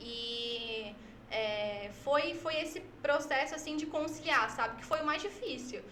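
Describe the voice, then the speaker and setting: Over background music and with audible room echo, a woman projects a raised voice at a high pitch, speaking very slowly with lively intonation. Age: 20s. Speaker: church social media worker. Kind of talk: podcast interview.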